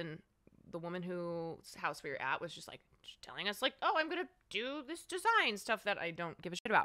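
A woman with an American accent talks at a fairly quick clip, her tone bright and sharp. Her pitch swings very widely. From US Midwest (Chicago suburbs, Iowa). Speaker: streamer. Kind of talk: casual chat. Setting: studio.

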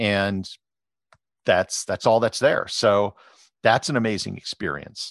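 A man with an Upper Midwest accent, long, frequent pauses, and a dry, close sound with no echo over a quiet background. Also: fairly low pitch for a man, ordinary pitch variation, fairly slow pace. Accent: Upper Midwest American. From US Midwest, Wisconsin. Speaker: travel blogger and photographer. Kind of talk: interview. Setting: podcast.

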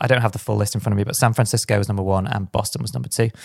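A somewhat breathy man is heard in a dry, close sound with no echo. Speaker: podcast host.

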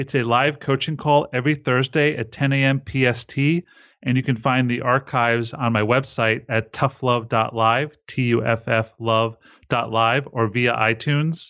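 This man has a plain, everyday voice at a medium pitch, moving at a moderate pace. His loudness stays very even and his intonation fairly even. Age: 40s. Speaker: relationship coach and lecturer. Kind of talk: interview.

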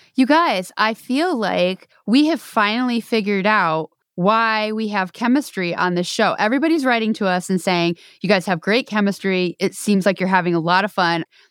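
A woman with an American accent and an ordinary speaking voice talks at a moderate pace at medium pitch with lively intonation. The recording is very clean, dry and close, with a silent background and no echo. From New York. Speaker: podcast host, association executive director. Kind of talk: casual chat.

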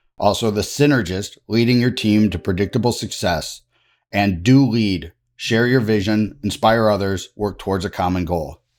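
In a very clean recording with a silent background, a man with a fairly low pitch talks at a moderate pace with ordinary pitch variation, an ordinary speaking voice. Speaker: podcast host. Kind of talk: interview.

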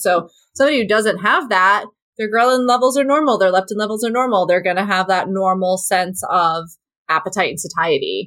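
This woman has an ordinary speaking voice with lively intonation. She talks at a fairly quick pace. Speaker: dietitian and podcast host. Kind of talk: casual chat.

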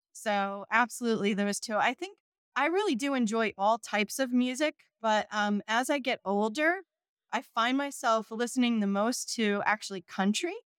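A woman with an American accent in a plain, everyday voice, fairly high in pitch, with ordinary pitch variation, a moderate pace and a dry, close sound with no echo. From New Jersey, southern shore. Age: 50s. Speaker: accounting firm managing director. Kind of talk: interview.

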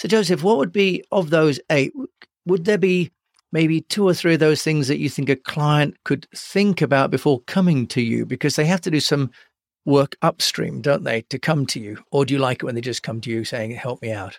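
With an ordinary speaking voice, a man talks at a moderate pace, his fairly high pitch and lively intonation heard in a dry, close sound with no echo. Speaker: podcast host. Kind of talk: casual interview.

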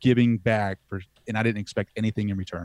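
In a very clean recording with a silent background, a man with an American accent speaks in a normal speaking voice at medium pitch, with ordinary pitch variation and a fairly quick pace. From US East Coast, southern Delaware. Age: 30s. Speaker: podcaster. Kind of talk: casual interview.

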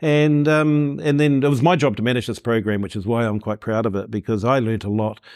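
The speaker has a New Zealand accent and a fairly quick pace, with ordinary pitch variation. It's a very clean recording, silent background. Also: man. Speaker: marketing consultant. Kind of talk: interview. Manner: halting.

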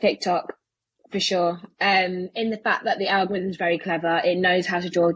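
Here a woman speaks with a British accent at a medium pitch. Her delivery is monotone and flat at a moderate pace. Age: 20s. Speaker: personal finance content creator. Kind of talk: interview.

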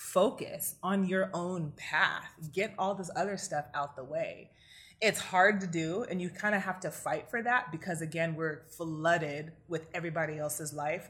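Using a plain, everyday voice, a woman with a fairly low pitch speaks at a moderate pace with ordinary pitch variation. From US, Nigerian immigrant family. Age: 30s. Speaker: clinical psychologist and coach. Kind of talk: interview conversation.

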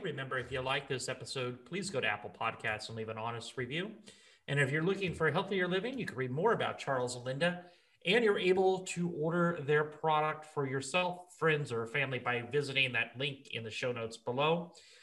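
Fairly high in pitch, a man's voice has a bright, sharp tone. He speaks at a fairly quick pace with very wide pitch swings. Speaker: podcast host, online marketing consultant. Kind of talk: interview.

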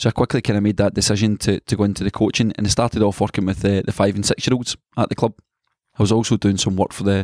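A man's fairly low voice, monotone and flat, at a very fast pace, with a dry, close sound with no echo on a very clean recording with a silent background. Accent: Scottish. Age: 30s. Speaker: youth football coach. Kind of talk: interview.

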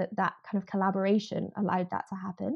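In a Scottish accent, a woman speaks at a very fast pace with a medium pitch and fairly even intonation. The background is quiet. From Scotland, Edinburgh. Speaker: farming union policy campaigner. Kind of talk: podcast interview.

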